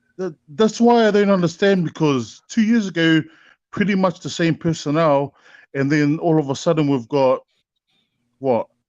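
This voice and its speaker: A man with a strong New Zealand accent speaks at a moderate pace and high pitch, with lively intonation and long, frequent pauses. The sound is dry and close with no echo, over a quiet background. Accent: thick New Zealand. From New Zealand, Auckland. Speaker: caller, fan. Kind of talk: casual panel chat. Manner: halting, repetitive starts.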